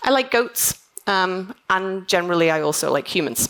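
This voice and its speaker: Her intonation lively, a woman with a Liverpool accent speaks at a medium pitch. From northern England, Liverpool. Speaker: conference keynote speaker, software testing manager. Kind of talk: conference keynote talk. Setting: stage with audience. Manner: fast; animated.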